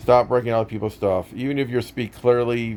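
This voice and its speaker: A man talks at a moderate pace. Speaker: YouTuber reviewing a movie. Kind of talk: casual vlog commentary. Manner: confident, sometimes a little loud; halting, many fillers and restarts.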